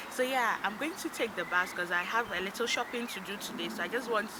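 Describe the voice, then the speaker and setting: A woman speaks fairly quickly amid noticeable background noise. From Africa. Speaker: vlogger. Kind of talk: vlog. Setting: outdoors. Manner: loud. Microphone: no microphone, voice low.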